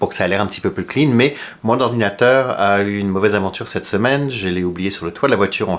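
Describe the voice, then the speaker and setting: At a fairly quick pace, a man with a fairly low pitch talks with lively intonation in a very clean recording with a silent background. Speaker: flight attendant YouTuber. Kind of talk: casual tutorial. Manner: unedited, with hesitations.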